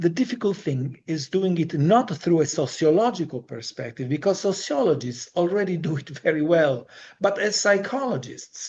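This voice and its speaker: A man's high-pitched voice with a non-native accent, lively intonation, a moderate pace and hardly any pauses. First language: not English. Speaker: Jungian analyst and psychologist. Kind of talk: lecture. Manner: formal.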